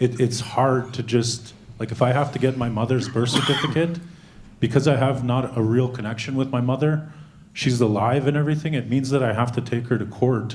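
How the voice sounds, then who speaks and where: Against audible room echo, a man talks fairly quickly at a medium pitch, somewhat breathy and with fairly even intonation. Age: 30s. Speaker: conference audience member. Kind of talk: audience question. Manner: halting.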